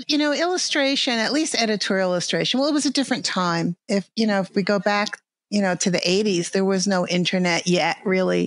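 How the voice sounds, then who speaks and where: A woman speaks in a New York accent at a medium pitch. Her intonation is lively and her pace moderate. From grew up about 40 miles north of New York City. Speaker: artist, podcast interview guest.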